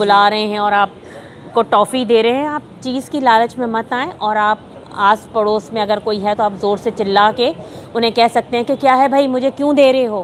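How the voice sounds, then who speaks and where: Noticeable background noise sits behind a woman speaking. Her pitch is fairly high and her intonation fairly even. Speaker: voice actor. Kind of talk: interview answer.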